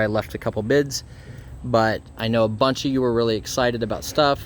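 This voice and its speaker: An ordinary speaking voice from a man with an American accent, medium pitch and ordinary pitch variation. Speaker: reseller and auction-preview vlogger. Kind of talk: casual talk to camera.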